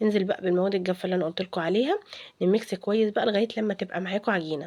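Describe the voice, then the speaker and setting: A woman speaks with an Egyptian accent. Her pitch is medium. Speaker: cooking vlogger. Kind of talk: cooking tutorial. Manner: halting, many fillers and restarts; casual, chatty.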